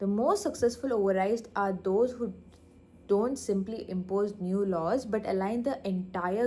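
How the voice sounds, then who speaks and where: Soft-spoken, a woman with a medium pitch and a dark, mellow tone speaks at a moderate pace with ordinary pitch variation. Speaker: vlogger practising speech. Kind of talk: reading aloud. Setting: in her lab. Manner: halting.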